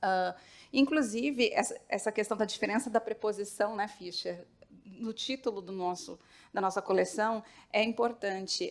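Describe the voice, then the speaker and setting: A woman with a São Paulo accent speaks at a moderate pace in a fairly high voice with ordinary pitch variation, on a very clean recording with a silent background. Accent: paulista. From São Paulo, Brazil. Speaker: literature researcher. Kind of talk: panel talk. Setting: auditorium with audience.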